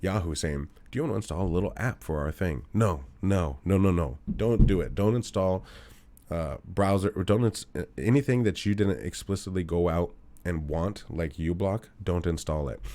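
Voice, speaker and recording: Very clean and silent behind him, a man speaks with a very deep, low pitch, a dark, mellow tone, vocal fry and ordinary pitch variation. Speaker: computer instructor. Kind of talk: tutorial. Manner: fast.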